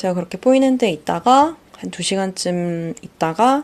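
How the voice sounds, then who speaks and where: A woman's voice with lively intonation. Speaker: solo podcaster. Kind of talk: casual monologue. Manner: hesitant, many fillers.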